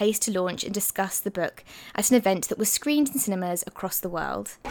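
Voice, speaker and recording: A woman at medium pitch talking at a very fast pace with ordinary pitch variation. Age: 20s. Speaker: podcast host and book editor. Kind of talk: scripted narration.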